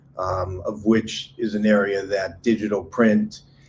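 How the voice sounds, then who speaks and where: Speaking at a fairly slow pace, a man with an American accent uses a fairly low, somewhat breathy voice and flat, monotone intonation. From United States. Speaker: market research firm president. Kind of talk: live online panel discussion.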